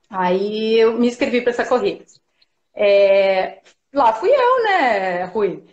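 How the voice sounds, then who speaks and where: The speech moves at a very slow pace. Audible echo from the room surrounds it. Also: woman, fairly high pitch for a woman, ordinary pitch variation. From Paraná, Brazil. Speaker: sports nutritionist and marathon runner. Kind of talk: live video interview. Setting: video call from home. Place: home room. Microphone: video call.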